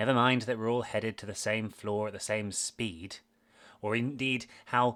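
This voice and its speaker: This is a man speaking with a British accent. The recording is very clean and the background silent. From Britain. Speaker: podcast host, former maths teacher. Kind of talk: scripted podcast narration.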